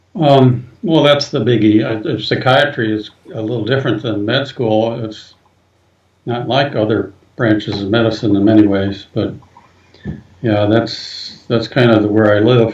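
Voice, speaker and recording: With an Inland Northern American accent, a man speaks at a moderate pace and a medium pitch, keeping his intonation fairly even. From US Midwest, northern Ohio (Cleveland). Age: 70s. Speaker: psychiatrist. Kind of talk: interview.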